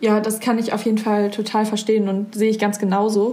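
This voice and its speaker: At a fairly quick pace, a woman speaks at medium pitch in a somewhat breathy voice with a dark, mellow tone. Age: young. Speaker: podcast host, volunteer. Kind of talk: casual interview chat.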